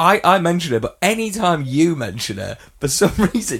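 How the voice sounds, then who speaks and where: A man with an English accent, high in pitch, with lively intonation. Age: 30s. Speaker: podcast co-host. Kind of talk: casual chat.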